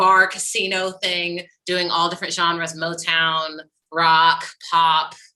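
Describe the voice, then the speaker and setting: A woman with an American accent has a bright, sharp tone and a fairly low pitch, speaking at a fairly slow pace with monotone, flat intonation. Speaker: musical theatre actor and singer. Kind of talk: casual chat.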